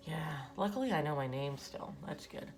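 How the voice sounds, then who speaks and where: Whispering at a fairly slow pace, a woman speaks over music in the background with audible room echo. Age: 40s. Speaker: artist and vlogger. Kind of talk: casual chat while drawing. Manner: rambling, hesitant; whispering, quiet.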